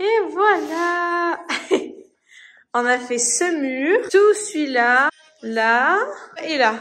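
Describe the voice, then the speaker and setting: Her voice is extremely high, bright and sharp, with very wide pitch swings. The woman speaks at a very slow pace. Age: 20s. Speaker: vlogger. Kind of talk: casual vlog. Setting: in a car. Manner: casual, hesitant with fillers.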